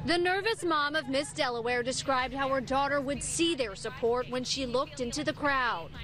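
There is noticeable background noise as a woman speaks at a high pitch and a moderate pace. Her loudness stays very even, with hardly any pauses. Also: ordinary pitch variation. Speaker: TV news reporter. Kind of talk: live TV news field report. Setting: outdoors.

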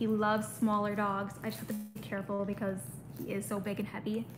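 Here a woman speaks with an American accent. Noticeable background noise is present. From US Midwest. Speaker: pet YouTuber. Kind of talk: casual livestream chat. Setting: home livestream. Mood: relaxed, chatty. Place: home room. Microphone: phone near.

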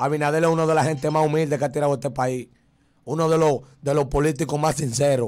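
Faint music plays in the background as a man talks very fast at a fairly high pitch. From Dominican Republic. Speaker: viral internet personality; interview guest. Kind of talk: casual chat. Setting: studio. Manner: animated. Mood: joking, playful. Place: studio. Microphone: studio mic.

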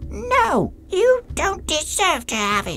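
Over clear background noise, someone delivers a put-on character voice at a very slow pace. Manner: yelling, defiant.

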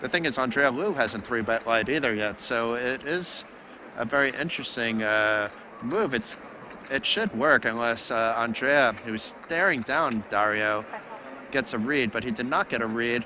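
A man with a New Jersey accent talks over noticeable background noise. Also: medium pitch for a man, ordinary pitch variation, moderate pace. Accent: American, New Jersey. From New Jersey, US. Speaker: poker commentator. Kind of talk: live commentary. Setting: live stream at poker tournament.

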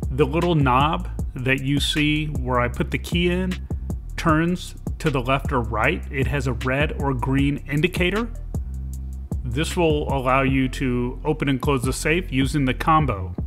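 A fairly slow pace of speech plays over clear background music. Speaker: truck owner reviewing a product. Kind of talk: tutorial. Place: car.

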